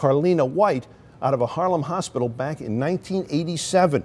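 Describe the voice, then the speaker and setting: With lively intonation, a man speaks in a normal speaking voice that is fairly high in pitch. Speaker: television news anchor. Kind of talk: TV news anchor delivery.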